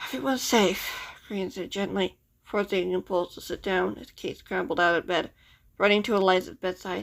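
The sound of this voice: The reading voice sounds unforced.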